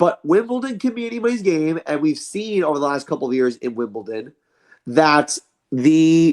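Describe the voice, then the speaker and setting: Very wide swings in pitch from a male speaker, on a very clean recording against total background silence. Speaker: sports podcast co-host. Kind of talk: casual sports discussion. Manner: fast.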